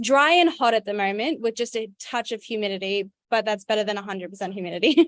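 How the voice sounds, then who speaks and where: Her pitch fairly high and her intonation lively, a woman races along at a very fast pace with hardly any pauses, in a dry, close sound with no echo. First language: Auslan (sign language). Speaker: university student. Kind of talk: self-introduction.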